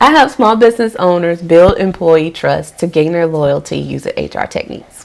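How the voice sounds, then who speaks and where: An animated tone from a woman at a moderate pace, with noticeable background noise. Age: 30s. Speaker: lifestyle vlogger and HR coach. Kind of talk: casual vlog talk.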